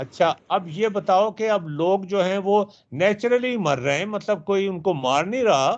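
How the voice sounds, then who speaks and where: High-pitched for his sex, this man's voice shows ordinary pitch variation. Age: 70s. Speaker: math teacher. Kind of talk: online lecture.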